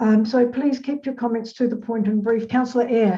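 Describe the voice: A woman speaks at a moderate pace with fairly high pitch. Her tone is dark and mellow, and her intonation stays fairly even.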